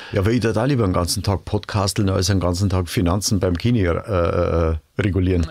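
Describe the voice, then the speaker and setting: In a Bavarian accent, a man talks at a fairly quick pace with a very deep, low pitch, ordinary pitch variation and very even loudness. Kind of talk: podcast conversation.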